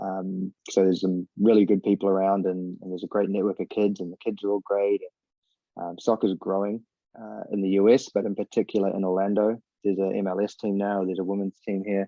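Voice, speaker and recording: A man in a New Zealand accent, fairly low in pitch, at a fairly quick pace with monotone, flat intonation. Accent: New Zealand accent, noticed by Americans. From New Zealand, Northland (Whangarei). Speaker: former professional footballer and youth soccer coach. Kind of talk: casual interview chat. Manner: casual, filler-heavy.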